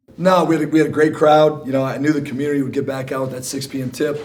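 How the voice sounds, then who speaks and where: Over noticeable background noise and audible room echo, a man with a fairly high pitch talks at a very fast pace. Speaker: basketball coach. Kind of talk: press conference.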